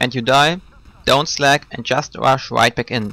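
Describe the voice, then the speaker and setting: A man with a non-native accent talks at a moderate pace in a bright, sharp tone. The sound is dry and close, without echo. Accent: non-native English, trouble with th sounds. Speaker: video game commentator. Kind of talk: scripted gameplay commentary voice-over.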